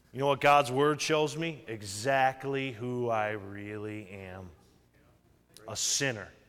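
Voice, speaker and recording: Amid audible room echo, a man at a medium pitch speaks at a very slow pace, with ordinary pitch variation and big swings in loudness. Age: 40s. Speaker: pastor. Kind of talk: sermon.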